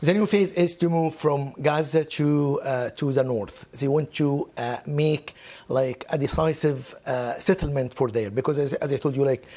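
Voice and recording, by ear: A dark, mellow tone with few pauses. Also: man, fairly high pitch for a man, ordinary pitch variation, moderate pace.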